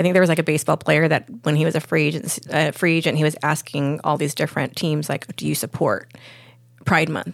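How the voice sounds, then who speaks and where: A woman with a very deep, low pitch and vocal fry, with an American accent, fairly even intonation and a fairly quick pace. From Lakewood, California. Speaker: freedom advocate. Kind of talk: casual chat.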